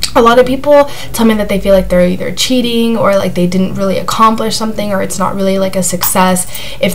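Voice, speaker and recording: There is audible room echo and noticeable background noise as a woman talks at a very fast pace. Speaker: vlogger sharing anxiety recovery. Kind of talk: casual vlog talk. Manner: hesitant, many fillers.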